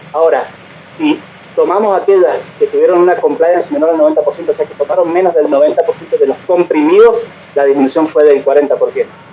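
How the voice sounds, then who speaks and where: A man speaks very fast as noticeable background noise continues behind him. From Argentina. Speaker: physician. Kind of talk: lecture.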